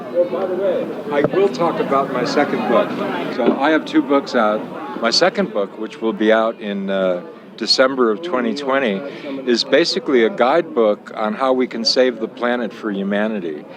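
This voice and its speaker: Amid clear background noise, a man talks at a middling speed, his pitch leaping very widely. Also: medium pitch for a man. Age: 70s. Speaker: festival board member. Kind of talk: field interview. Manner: halting.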